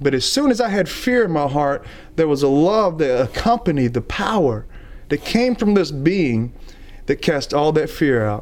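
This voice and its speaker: With a Southern US accent, a man speaks at a moderate pace in a fairly high pitch, his pitch swinging very widely while his loudness stays very even. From US South, Alabama. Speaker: traveling evangelist. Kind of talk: testimony.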